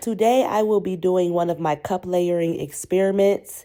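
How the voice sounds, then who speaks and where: On a very clean recording with a silent background, a woman speaks in a fairly low, dark, mellow voice at a moderate pace with fairly even intonation. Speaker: fluid art painter. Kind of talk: tutorial.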